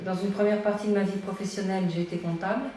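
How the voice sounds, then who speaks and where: A woman's fairly even intonation comes through audible room echo and noticeable background noise. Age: 60s. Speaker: dating agency client. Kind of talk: interview. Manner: halting.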